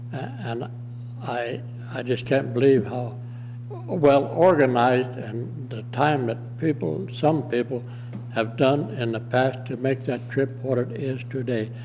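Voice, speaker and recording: Fairly slow and medium in pitch, a man speaks with fairly even intonation. Noticeable background noise and audible room echo surround him. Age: 80s+. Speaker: war veteran. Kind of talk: public testimony at county meeting. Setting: county commissioners meeting room. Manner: halting.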